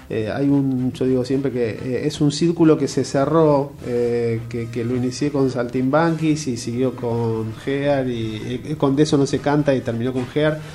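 Over noticeable background noise, a man of medium pitch talks at a fairly slow pace with hardly any pauses and fairly even intonation. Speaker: theatre director and journalist. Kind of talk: interview.

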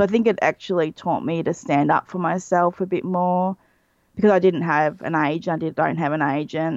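With an Australian accent, a woman talks at a fairly quick pace and a fairly low pitch. Her background is quiet. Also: ordinary pitch variation. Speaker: illustrator. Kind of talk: casual chat.

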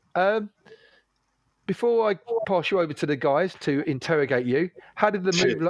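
In a dry, close sound with no echo, a man with a fairly high pitch speaks at a moderate pace with lively intonation, very even loudness and long, frequent pauses. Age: 40s. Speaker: podcast host. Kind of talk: casual chat.

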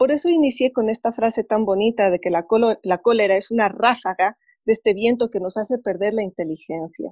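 Using an unremarkable speaking voice, a woman talks fairly quickly at a fairly high pitch with lively intonation. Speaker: psychologist and therapist. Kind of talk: casual interview. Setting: video call.

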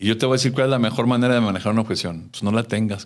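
Very fast speech from a man with a Mexican accent, in a very clean recording with a silent background. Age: 50s. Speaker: customer service trainer and speaker. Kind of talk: interview.

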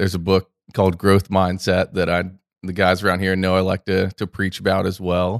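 The recording is very clean, with a silent background and a dry, close sound with no echo. A man with an American accent speaks at a moderate pace with a very deep, low pitch. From Central Florida, US. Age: 20s. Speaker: investment executive. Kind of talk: interview conversation. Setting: studio.

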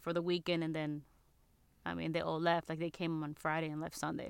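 In a very clean recording with a silent background and a dry, close sound with no echo, a woman speaks at a fairly low pitch in a plain, everyday voice. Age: 20s. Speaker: podcast co-host. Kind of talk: casual chat.

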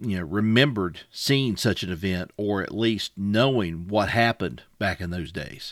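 A man's fairly low voice at a moderate pace, with an Appalachian accent. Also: very clean recording, silent background. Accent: Appalachian Southern US. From Wise County, Virginia (Appalachia). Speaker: podcast co-host. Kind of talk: casual chat about a story.

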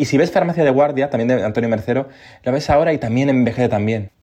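This man talks at a very fast pace in a fairly high pitch. His tone is dark and mellow, with ordinary pitch variation. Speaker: television journalist. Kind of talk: interview.

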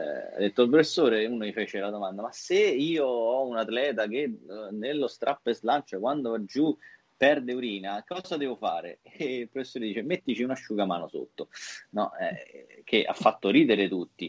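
A man speaks in a normal speaking voice at a moderate pace with lively intonation. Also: medium pitch for a man. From Italy. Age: 40s. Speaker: physiotherapist and trainer. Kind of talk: interview.

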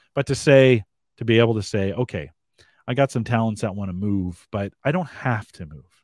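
On a very clean recording with a silent background and a dry, close sound with no echo, a man has an unremarkable speaking voice at medium pitch. He talks at a moderate pace with lively intonation and big swings in loudness. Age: 50s. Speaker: webcast host. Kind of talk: casual interview.

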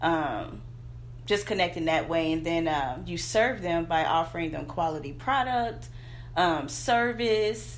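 A woman with a Southern US accent speaks at a fairly slow pace. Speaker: branding coach and entrepreneur. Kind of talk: casual interview chat.

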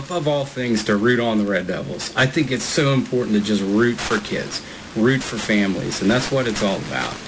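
Amid noticeable background noise, a man with a fairly low pitch speaks with lively intonation. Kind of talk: halftime interview. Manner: hesitant with filler words.

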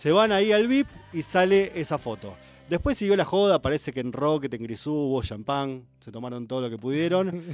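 At a moderate pace, a man with a fairly high pitch shows very wide pitch swings and big swings in loudness. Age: 40s. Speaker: literature columnist. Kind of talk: radio column, casual chat.

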